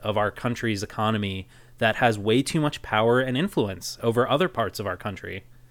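Speaking at medium pitch with ordinary pitch variation, a man has an ordinary speaking voice. The recording is very clean, with a silent background. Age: 30s. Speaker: podcast co-host. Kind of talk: casual chat.

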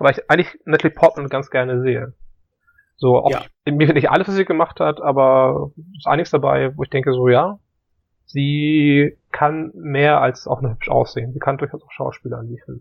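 In a plain, everyday voice, a man with a fairly high pitch talks at a moderate pace, his pitch varying in an ordinary way and his loudness swinging widely. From northern Germany, Hamburg. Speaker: film podcast co-host. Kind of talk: casual chat.

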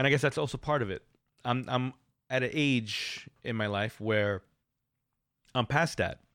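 A man with an American accent, medium pitch with ordinary variation, a moderate pace and long, frequent pauses. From New York City. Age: 40s. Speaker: podcaster and student. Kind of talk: audio diary monologue. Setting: home recording with microphone. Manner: halting, with frequent repetitions.

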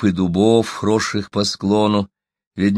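With a quiet background behind it, the text is read aloud plainly.

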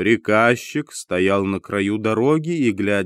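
The clip carries a natural reading voice with lively intonation.

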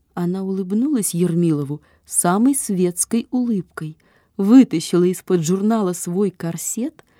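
The speaker reads in an unforced reading voice whose pitch shifts in an ordinary way.

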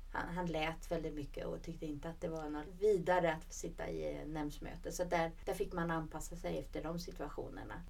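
A woman at a fairly quick pace with hardly any pauses. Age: 40s. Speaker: regional politician, podcast co-host. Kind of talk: casual chat. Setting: studio.

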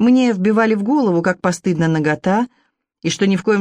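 A quiet background behind reading aloud in a natural voice.

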